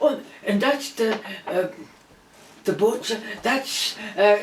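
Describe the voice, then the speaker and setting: A woman talks very slowly, and noticeable background noise is present. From Denmark. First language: Danish. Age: 80s+. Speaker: interviewee recalling wartime childhood. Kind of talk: personal testimony.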